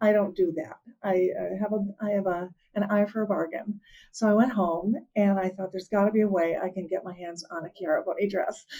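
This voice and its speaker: Woman's voice at medium pitch, dark and mellow in tone, at a fairly quick pace. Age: 60s. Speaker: fashion vlogger. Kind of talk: casual chat. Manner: animated.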